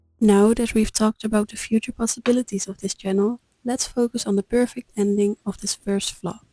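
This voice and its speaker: Calm and somewhat breathy, a woman with a Dutch accent speaks in a fairly high, dark and mellow voice, her intonation flat and monotone, the sound dry and close with no echo. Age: 20s. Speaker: vlogger. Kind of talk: scripted narration.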